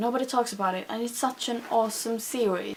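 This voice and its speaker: This is a woman speaking. Her voice sits at a fairly high pitch. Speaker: book vlogger. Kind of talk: casual chat. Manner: halting; animated.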